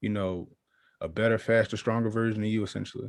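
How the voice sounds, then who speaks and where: On a very clean recording with a silent background, a man with an American accent speaks at a fairly low pitch. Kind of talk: casual interview chat.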